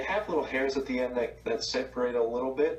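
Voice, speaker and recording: Over music in the background, a man with an American accent speaks at medium pitch with fairly even intonation. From New Jersey. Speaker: product company representative. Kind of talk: casual chat. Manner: hesitant.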